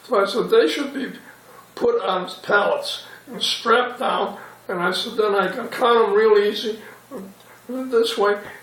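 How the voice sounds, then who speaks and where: A man speaks slowly-ish in a high voice, with fairly even intonation and long, frequent pauses. Room echo and background noise can be heard. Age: 90s. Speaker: war veteran. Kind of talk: oral history interview. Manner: halting.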